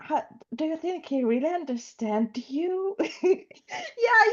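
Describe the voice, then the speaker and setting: A woman with a Russian accent and very wide pitch swings. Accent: Russian-sounding. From Ukraine. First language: Ukrainian or Russian. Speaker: student. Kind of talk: class discussion.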